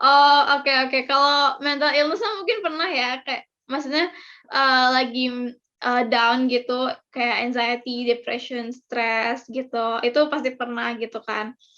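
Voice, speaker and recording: A woman's raised, projected voice, high-pitched with a bright, sharp tone, ordinary pitch variation and a fairly slow pace. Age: 20s. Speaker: university student. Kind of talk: casual chat. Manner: halting.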